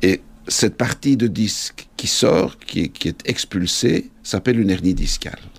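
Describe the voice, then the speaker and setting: Speaking at a fairly slow pace, a man with a fairly low pitch and ordinary pitch variation has a plain, everyday voice. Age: 50s. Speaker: orthopedic surgeon. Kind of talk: explanatory interview.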